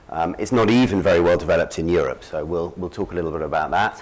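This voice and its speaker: Very rapidly, a man talks with a British accent. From Britain. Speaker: conference speaker, lawyer and market analyst. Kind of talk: conference presentation. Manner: hesitant, many fillers.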